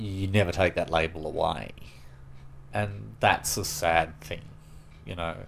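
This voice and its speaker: A man with an Australian accent and a very deep, low pitch, at a fairly slow pace, with very wide pitch swings and long, frequent pauses. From Sydney, Australia. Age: 40s. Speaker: interviewee sharing personal story. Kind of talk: personal interview testimony. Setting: at his home.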